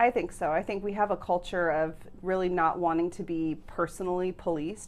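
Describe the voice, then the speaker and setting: This woman speaks with an American accent in a normal speaking voice, her pitch fairly low and her intonation fairly even at a fairly quick pace. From United States. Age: 30s. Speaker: nutrition professor. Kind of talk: interview.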